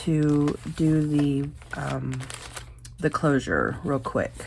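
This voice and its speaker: Against noticeable background noise, a woman talks with flat, monotone intonation. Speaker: crafting youtuber. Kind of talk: tutorial. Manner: casual, halting with fillers.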